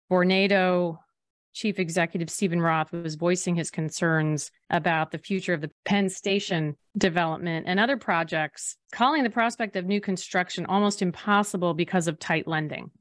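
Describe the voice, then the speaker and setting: The recording is very clean, with a silent background and a dry, close sound with no echo. A woman with a fairly low pitch and an unremarkable speaking voice talks at a moderate pace with ordinary pitch variation. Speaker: podcast host. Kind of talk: scripted news-style podcast intro and chat.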